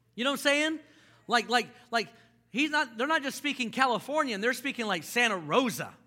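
In a raised, projected voice, a man with an extremely high pitch talks at a fairly quick pace, his animated, bright, sharp tone carried by lively intonation. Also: very clean recording, silent background. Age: 30s. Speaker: pastor. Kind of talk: sermon. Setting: church with congregation.

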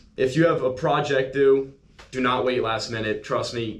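Speech with ordinary pitch variation comes through noticeable background noise and audible room echo. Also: man. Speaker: college student social media account runner. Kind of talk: casual chat.

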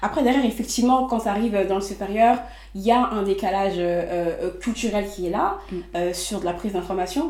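A woman speaks at a medium pitch and a fairly quick pace, with ordinary pitch variation. Audible room echo and noticeable background noise are present. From Les Mureaux, Yvelines, France. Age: 20s. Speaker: entrepreneur. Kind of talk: interview.

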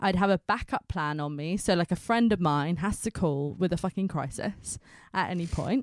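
In a very clean recording with a silent background and a dry, close sound with no echo, a woman with a fairly low pitch speaks at a moderate pace in an animated tone with ordinary pitch variation. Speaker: podcast host. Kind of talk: casual chat. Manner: animated, chatty.

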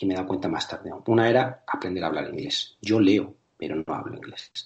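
A man's slightly airy voice keeps a fairly level intonation. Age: 40s. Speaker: personal trainer and educator. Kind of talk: interview.

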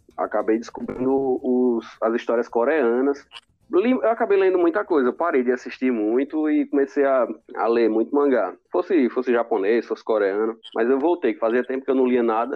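A man's ordinary speaking voice, medium in pitch, at a moderate pace with very even loudness and ordinary pitch variation. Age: 20s. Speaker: podcast co-host. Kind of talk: casual chat.

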